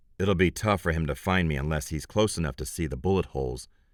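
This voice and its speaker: Vocal fry marks a man's very deep, low voice as he speaks at a fairly quick pace with ordinary pitch variation. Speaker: audiobook narrator. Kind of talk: audiobook narration. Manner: first-person hard-boiled noir narration.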